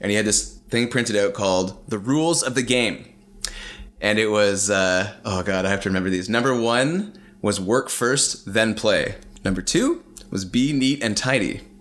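With a Canadian accent and a normal speaking voice, a man talks at a moderate pace, his fairly low pitch showing ordinary variation. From Canada (Ontario, Calgary, BC). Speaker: mechanical engineer. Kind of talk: casual interview storytelling.

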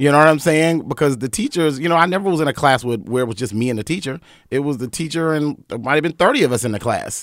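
A man with an American accent talks at a very fast pace with hardly any pauses, at a fairly high pitch with ordinary pitch variation. The recording is very clean, with a silent background. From North Carolina (Wilmington). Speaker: event organizer and media entrepreneur. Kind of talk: casual chat. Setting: studio.

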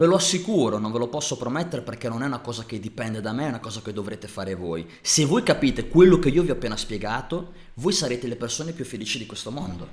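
Very fast and animated, a man speaks at a medium pitch with very wide pitch swings. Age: 30s. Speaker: fitness and lifestyle coach. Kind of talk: motivational monologue.

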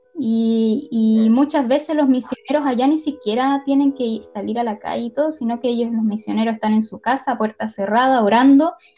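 Over noticeable background noise, a woman speaks in a high pitch with fairly even intonation and hardly any pauses. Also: moderate pace. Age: 30s. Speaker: youth leader. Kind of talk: casual chat.

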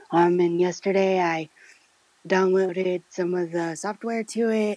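With an American accent and fairly even intonation, the speaker uses an ordinary speaking voice at a moderate pace, the sound dry and close with no echo. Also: woman. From US Midwest. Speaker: radio co-host. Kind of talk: casual chat.

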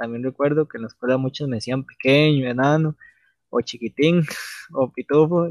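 Speaking with a Costa Rican accent, a man holds a fairly high pitch and fairly even intonation. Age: 20s. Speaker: podcast co-host. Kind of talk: casual chat.

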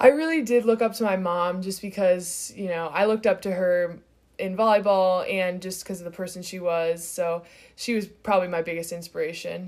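A woman's normal speaking voice with an American accent, medium in pitch, at a moderate pace with fairly even intonation and big swings in loudness, on a very clean recording with a silent background. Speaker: college volleyball player. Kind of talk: interview. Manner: casual, filler-heavy.

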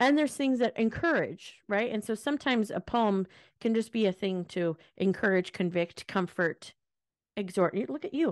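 Speaking with an American accent at a moderate pace, a woman uses an animated tone and very wide pitch swings, with a dry, close sound with no echo and a quiet background. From US Pacific Northwest. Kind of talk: casual faith chat.

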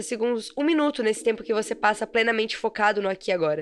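Over noticeable background noise, a woman talks at a very fast pace in a fairly high voice with lively intonation. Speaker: podcast host, mentor and copywriter. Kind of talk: solo podcast monologue.

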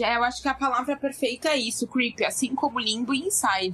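This is a woman speaking. Her pace is moderate. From São Paulo, Brazil. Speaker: gaming podcaster and streamer. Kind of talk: casual chat.

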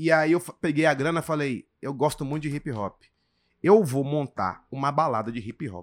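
Moderate pace, ordinary pitch variation and big swings in loudness, in a dry, close sound with no echo on a very clean recording with a silent background. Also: man, fairly high pitch for a man. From grew up moving around Brazil (Porto Velho, Manaus, Salvador, Brasília, Recife). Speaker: stand-up comedian. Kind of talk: casual chat. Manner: animated.

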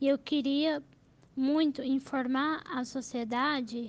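High-pitched woman's voice at a very slow pace with fairly even intonation. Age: 20s. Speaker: journalism student. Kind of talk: interview testimony.

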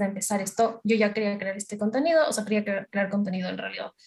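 A woman with an unremarkable speaking voice talks fairly quickly at a fairly high pitch. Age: 20s. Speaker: social media content creator and university student. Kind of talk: casual interview.

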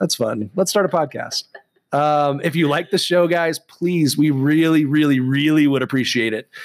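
A man's fairly high voice at a moderate pace, with ordinary pitch variation and very even loudness. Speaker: podcast co-host with a history degree. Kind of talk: casual chat. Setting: studio. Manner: preachy, speech-trained delivery.

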